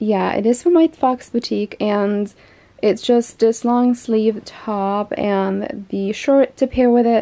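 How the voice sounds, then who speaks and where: Very slowly, a woman speaks with ordinary pitch variation. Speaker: fashion vlogger. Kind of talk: casual vlog chat. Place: home room. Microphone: phone near.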